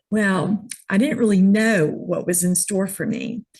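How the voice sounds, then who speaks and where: A woman speaks with a medium pitch and ordinary pitch variation. Her voice is somewhat breathy. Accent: American. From New York City, then Georgia from late teens. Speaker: image consultant. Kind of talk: interview.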